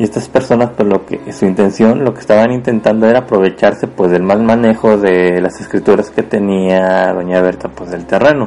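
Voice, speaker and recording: Over noticeable background noise, a man with a fairly low pitch talks at a moderate pace with hardly any pauses and ordinary pitch variation. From Mexico, Puebla. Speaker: podcast host and storyteller. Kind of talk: storytelling narration. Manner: hesitant, many fillers.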